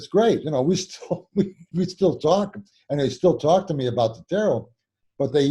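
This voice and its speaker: A man, somewhat breathy, at a fairly quick pace with lively intonation. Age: 60s. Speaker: tarot teacher and author. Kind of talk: interview. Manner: halting, many repetitions.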